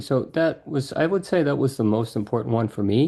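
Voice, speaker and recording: In a quiet background, a man with a dark, mellow tone speaks at a medium pitch and with lively intonation. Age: 60s. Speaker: professor. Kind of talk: interview.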